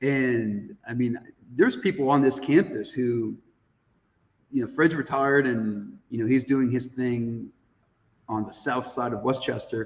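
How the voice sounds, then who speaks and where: With long, frequent pauses, a man in an American accent talks at a fairly slow pace, using a medium pitch and ordinary pitch variation. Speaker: high school teacher. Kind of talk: casual chat.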